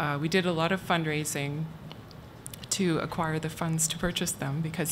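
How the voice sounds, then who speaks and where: Soft-spoken and somewhat breathy, a woman talks at a moderate pace in a very deep, low pitch with monotone, flat intonation. Audible room echo surrounds her voice. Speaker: university archivist. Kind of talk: conference talk.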